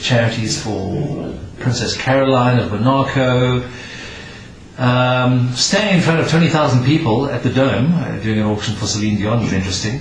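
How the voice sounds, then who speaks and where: The man talks at a moderate pace with a medium pitch and ordinary pitch variation. Noticeable background noise runs beneath him. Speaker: auctioneer. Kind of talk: interview answer.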